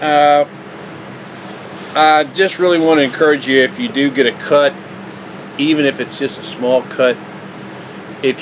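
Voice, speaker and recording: This man has a fairly high pitch and ordinary pitch variation. He talks at a moderate pace over noticeable background noise. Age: 60s. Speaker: vlogger. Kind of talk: casual tutorial. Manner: casual, halting.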